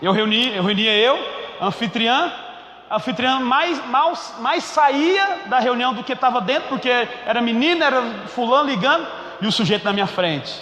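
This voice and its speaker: A man's raised, projected voice in a Goiás accent, extremely high-pitched, animated and lively in intonation, at a moderate pace with long, frequent pauses, amid audible room echo and noticeable background noise. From Goiás, Brazil. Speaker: pastor. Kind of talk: sermon. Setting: church.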